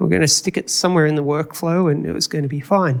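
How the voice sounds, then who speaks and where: A man with a fairly high pitch and an Australian accent, in a very clean recording with a silent background. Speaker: conference speaker, video engineer. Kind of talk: conference talk. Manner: casual, conversational.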